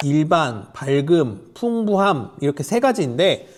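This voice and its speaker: A man's voice with very wide pitch swings at a fairly slow pace. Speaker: tech reviewer. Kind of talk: product review. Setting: outdoors beside a busy road. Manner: loud, raised voice over noise.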